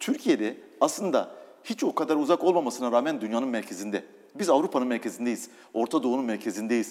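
In an unremarkable speaking voice, a man talks at a fairly quick pace and medium pitch, his intonation lively. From eastern Turkey (Doğubayazıt). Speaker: business executive. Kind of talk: interview.

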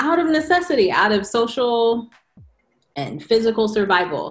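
Using an ordinary speaking voice, a woman with an American accent talks at a moderate pace with a fairly high pitch. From California. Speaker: author, educator and poet. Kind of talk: casual chat.

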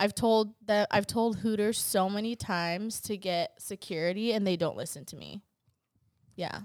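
A woman with an ordinary speaking voice and medium pitch talks at a moderate pace, her loudness swinging widely. The recording is very clean, with a silent background. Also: fairly even intonation. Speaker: guest who works in restaurant. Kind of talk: casual chat.

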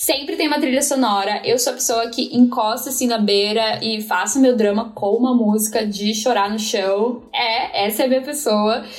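Noticeable background noise sits behind a woman's high voice, which moves at a moderate pace with ordinary pitch variation. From São Paulo, east zone. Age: 30s. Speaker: company coordinator. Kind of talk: interview.

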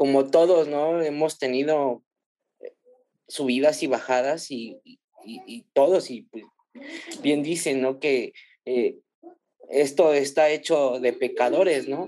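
At a very slow pace, with long, frequent pauses, a man of fairly high pitch speaks in a dark, mellow tone and fairly even intonation. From Mexico City. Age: 30s. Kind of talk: casual chat.

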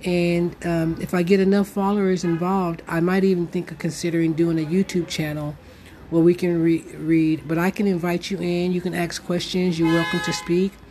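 Monotone, flat delivery from a woman, fairly low in pitch, moderately paced. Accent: American. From United States. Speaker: podcast host. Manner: halting.

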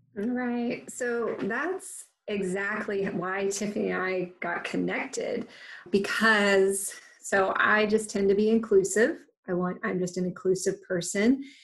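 A somewhat breathy woman speaks at a fairly slow pace. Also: medium pitch for a woman, fairly even intonation. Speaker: nonprofit co-host. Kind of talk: casual interview.

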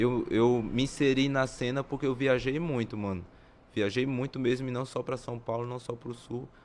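A man with an unremarkable speaking voice keeps a medium pitch, fairly even intonation and a moderate pace. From Maranhão, Brazil, raised near Brasília. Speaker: breakdancer. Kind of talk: casual interview.

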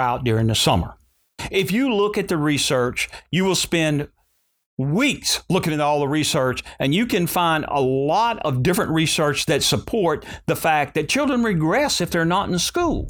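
Lively intonation marks this man's fairly high voice, spoken with a Louisiana accent. His loudness stays very even, and the recording is very clean with a silent background. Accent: Southern US (Louisiana). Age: 60s. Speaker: school superintendent. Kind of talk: interview.

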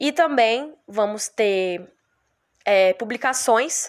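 The recording is very clean with a silent background, capturing a woman's fairly high voice. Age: 20s. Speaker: history student, podcast co-host. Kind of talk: podcast introduction. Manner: casual, hesitant.

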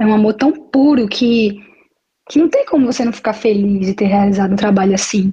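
A woman's dark, mellow, somewhat breathy voice at a fairly quick pace and very even loudness. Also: fairly high pitch for a woman, ordinary pitch variation. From Brazil, Maceió, Alagoas (Northeast). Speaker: model and beachwear entrepreneur. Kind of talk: interview. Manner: halting, with hesitations.

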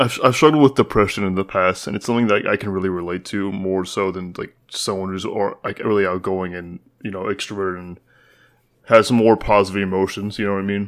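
The recording is very clean, with a silent background. A man with an unremarkable speaking voice and fairly low pitch talks at a fairly quick pace with fairly even intonation and big swings in loudness. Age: 20s. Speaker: podcast co-host, college student. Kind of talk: casual chat.

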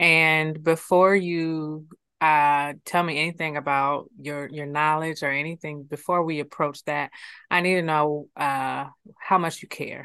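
Against a quiet background, a woman with an American accent speaks at a very deep, low pitch in a bright, sharp, calm tone with monotone, flat intonation. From Ohio, US Midwest (Columbus). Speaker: nonprofit executive director. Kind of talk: casual interview chat. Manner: calm, inviting tone.

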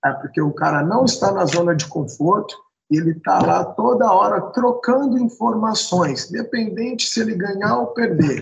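A man's high pitch and lively intonation come through as he talks at a moderate pace. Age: 40s. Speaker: jiu-jitsu instructor. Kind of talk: casual chat.

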